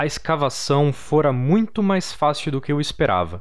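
In a dramatic tone, a man with a fairly high pitch speaks at a fairly slow pace with lively intonation. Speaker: storyteller narrating a horror tale. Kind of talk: dramatic horror narration read aloud. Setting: campfire-style storytelling with background audio. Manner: slow, suspenseful, gravely dramatic.

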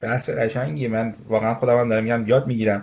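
A man speaks at a medium pitch. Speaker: construction management firm executive. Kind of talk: interview.

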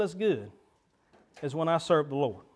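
Speaking with a Southern US accent, a man is heard. His pitch swings very widely. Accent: US South. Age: 30s. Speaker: pastor. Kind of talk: sermon. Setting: church. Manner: animated.

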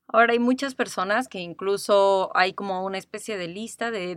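A woman with a Mexico City accent, medium pitch and fairly even intonation at a moderate pace, in a very clean recording with a silent background. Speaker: podcast host, life coach. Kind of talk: casual chat.

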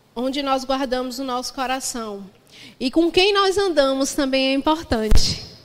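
A woman with a high voice and ordinary pitch variation talks through noticeable background noise. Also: moderate pace. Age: 30s. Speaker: pastor. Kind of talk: sermon.

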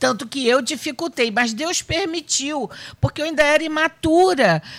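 At a fairly slow pace, a woman talks in a high-pitched voice. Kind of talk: panel discussion on faith. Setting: radio studio with cameras.

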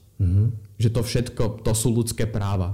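A man speaks at a medium pitch with a dark, mellow tone, a somewhat breathy quality and fairly even intonation. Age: young. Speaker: student activist. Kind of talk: interview.

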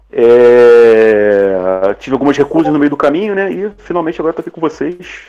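With music in the background, a man talks in a lively intonation. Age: 40s. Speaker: podcaster. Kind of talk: panel discussion.

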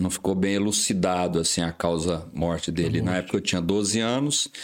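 His pace is moderate, with ordinary pitch variation. The man's pitch is very deep and low. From Brazil, Goiás interior. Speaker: vascular surgeon. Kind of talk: casual chat.

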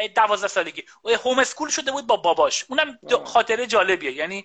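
Speaking in a raised, projected voice, a man races along at a very fast pace. His tone is bright and sharp. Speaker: computer science professor. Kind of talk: casual interview chat. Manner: halting, many fillers. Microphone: echo and too loud microphone.

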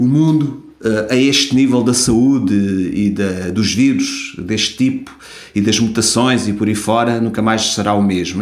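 The speech comes at a fairly slow pace in a European Portuguese accent, with audible room echo. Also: man. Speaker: podcast host. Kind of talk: solo commentary podcast. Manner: halting.

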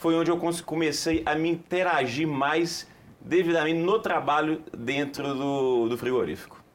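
A man with an ordinary speaking voice talks at a fairly slow pace, his fairly high pitch carried with fairly even intonation and very even loudness. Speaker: company commercial director. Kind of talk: TV studio interview.

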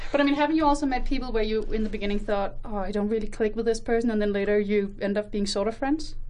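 The delivery comes at a very fast pace with hardly any pauses and ordinary pitch variation. Audible room echo is heard. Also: woman, fairly high pitch for a woman. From Denmark. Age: 20s. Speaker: religious studies student. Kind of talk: casual chat. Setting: studio.

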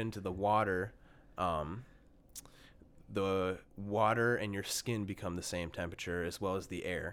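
The recording is very clean with a silent background. A man speaks at a moderate pace with a fairly low pitch and fairly even intonation. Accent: Upper Midwest. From Minnesota, Bloomington. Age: 20s. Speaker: podcast guest, meditation practitioner. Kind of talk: casual chat.

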